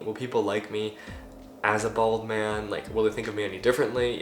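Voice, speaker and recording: Very fast male speech amid noticeable background noise and audible room echo. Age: 18. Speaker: vlogger. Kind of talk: casual vlog monologue.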